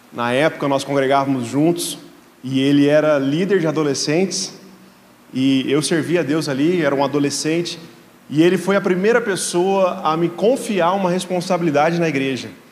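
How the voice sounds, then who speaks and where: With audible room echo and noticeable background noise around him, a man keeps a moderate pace. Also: fairly high pitch for a man, ordinary pitch variation. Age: 30s. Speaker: guest pastor. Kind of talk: sermon.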